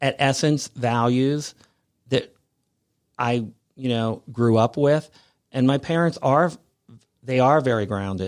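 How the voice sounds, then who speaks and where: On a very clean recording with a silent background, a medium-pitched man speaks fairly slowly with long, frequent pauses and ordinary pitch variation. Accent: American. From US Midwest, Cincinnati, Ohio. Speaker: fashion designer. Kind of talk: interview. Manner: halting.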